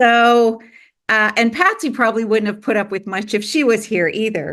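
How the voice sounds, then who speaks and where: A woman with a normal speaking voice, fairly high in pitch with ordinary pitch variation, at a moderate pace against a quiet background. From Canada. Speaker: filmmaker and producer. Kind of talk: interview.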